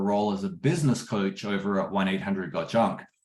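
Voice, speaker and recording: A man with an Australian accent speaks fairly quickly in a fairly low pitch, keeping his intonation fairly even. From Australia, Perth. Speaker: business coach. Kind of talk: webinar interview.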